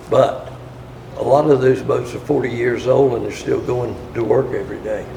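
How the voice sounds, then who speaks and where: A man in an American accent talks at a moderate speed as noticeable background noise continues. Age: 80s+. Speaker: boat builder. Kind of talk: interview answer.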